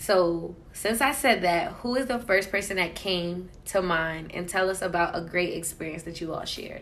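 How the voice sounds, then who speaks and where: A woman with an American accent uses an ordinary speaking voice at a medium pitch with ordinary pitch variation, talking at a moderate pace with hardly any pauses. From Queens, New York and New Jersey. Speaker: podcast co-host. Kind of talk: casual chat.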